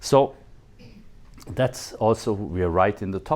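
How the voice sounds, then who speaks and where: A man with a non-native accent speaks at a fairly slow pace. His medium pitch carries lively intonation. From Switzerland. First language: not English. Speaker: photogrammetry expert, dental technology speaker. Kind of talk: conference talk. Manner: animated.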